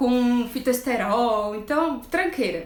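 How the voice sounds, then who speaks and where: In a room with audible echo and noticeable background noise, a woman speaks in an animated tone with very wide pitch swings. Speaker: nutritionist. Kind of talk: live stream talk.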